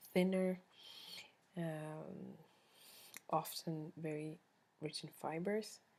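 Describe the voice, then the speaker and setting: A woman speaks in a Swedish accent with a fairly low pitch. Her intonation is fairly even, with long, frequent pauses. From Sweden. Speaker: vlogger. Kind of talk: casual chat.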